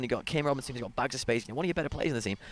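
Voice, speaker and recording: This man has a British accent and a medium pitch. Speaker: soccer color commentator. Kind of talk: live commentary.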